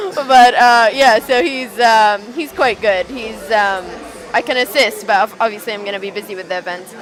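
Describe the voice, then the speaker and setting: In an Arabic accent, the speaker goes at a moderate pace with ordinary pitch variation and big swings in loudness, with audible room echo and crowd noise in the background. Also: woman, fairly high pitch for a woman. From Saudi Arabia. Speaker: event organiser. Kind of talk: casual chat. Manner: hesitant, many fillers.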